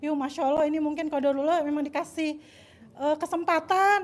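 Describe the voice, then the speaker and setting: A woman's voice runs at a very fast pace with an extremely high pitch. Her intonation stays monotone and flat. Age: 30s. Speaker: audience member. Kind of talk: question and personal story. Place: home room. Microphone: handheld.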